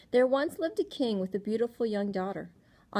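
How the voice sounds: The voice heard here is a natural reading voice.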